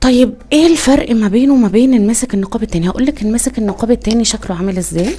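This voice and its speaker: In an Egyptian accent, a woman speaks very fast with hardly any pauses, at a fairly high pitch with ordinary pitch variation, over noticeable background noise. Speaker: niqab accessories seller and vlogger. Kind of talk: casual product tutorial. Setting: indoors, poor lighting. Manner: hesitant, many fillers.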